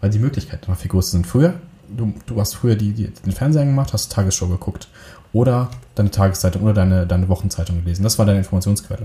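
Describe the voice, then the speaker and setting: Somewhat breathy and dark, mellow in tone, a man with fairly low pitch talks at a very fast pace. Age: 30s. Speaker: film and video producer. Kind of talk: casual chat. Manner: hesitant, many filler sounds.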